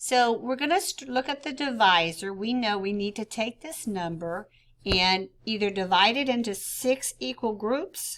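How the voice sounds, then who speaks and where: A woman's ordinary speaking voice, fairly high in pitch and lively in intonation, at a fairly slow pace in a very clean recording with a silent background. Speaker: fourth grade teacher. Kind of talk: tutorial.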